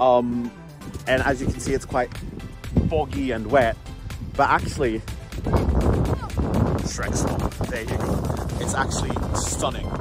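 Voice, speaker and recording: Against loud music in the background, a man speaks at a fairly slow pace with long, frequent pauses, in a dry sound with no echo. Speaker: travel vlogger. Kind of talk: casual vlog chat. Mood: admiring, relaxed. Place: waterside. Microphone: phone near.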